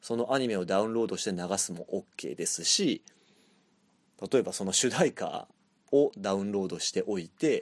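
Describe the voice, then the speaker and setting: Against a silent background in a very clean recording, a man speaks with long, frequent pauses, the sound dry and close with no echo. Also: moderate pace. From Japan, Chiba. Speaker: podcast host and band vocalist. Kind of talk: solo monologue.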